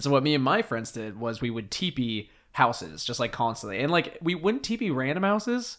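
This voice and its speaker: A man talks at a medium pitch with an American accent and very wide pitch swings. His pace is fairly quick, with hardly any pauses. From US Pacific Northwest island. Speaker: podcast host. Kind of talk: casual chat.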